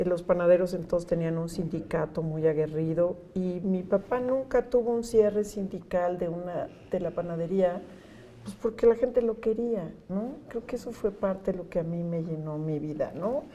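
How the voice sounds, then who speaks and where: A woman with a central Mexican accent speaks in a dark, mellow tone. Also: medium pitch for a woman, ordinary pitch variation, moderate pace. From Mexico City. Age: 60s. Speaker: NGO executive director. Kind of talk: interview. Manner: warm, conversational.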